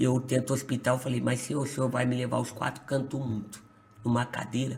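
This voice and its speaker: A man's medium-pitched voice in a monotone, flat intonation at a fairly quick pace, with noticeable background noise. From Brazil, São Paulo state. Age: 20s. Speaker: pastor. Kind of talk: testimony.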